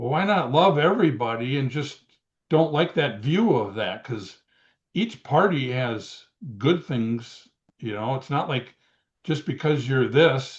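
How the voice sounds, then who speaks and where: At a fairly slow pace, a man talks with lively intonation in a somewhat breathy, fairly high-pitched voice. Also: quiet background. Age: 60s. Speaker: retired pro wrestler. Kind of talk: interview. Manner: hesitant, many fillers.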